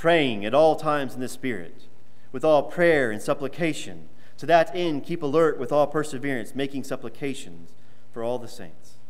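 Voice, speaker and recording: A man's ordinary speaking voice, fairly high in pitch. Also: ordinary pitch variation, moderate pace. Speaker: preacher. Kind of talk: sermon. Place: church.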